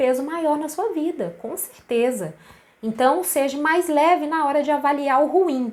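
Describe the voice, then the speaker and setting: Lively in intonation, a woman talks at a fairly slow pace. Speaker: naturopathic therapist. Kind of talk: live stream talk. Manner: casual.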